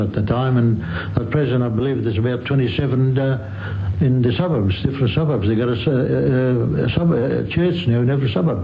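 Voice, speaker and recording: The speaker talks at a fairly quick pace with hardly any pauses, very even loudness and ordinary pitch variation, amid noticeable background noise and audible room echo. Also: man. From Greece. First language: Greek. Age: 80s+. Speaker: immigrant interviewee. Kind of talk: oral history interview. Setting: radio interview. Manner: halting.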